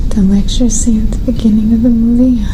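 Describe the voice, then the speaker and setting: At a moderate pace, a soft-spoken woman whispers against noticeable background noise. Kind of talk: ASMR magazine reading. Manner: soft-spoken, whispered.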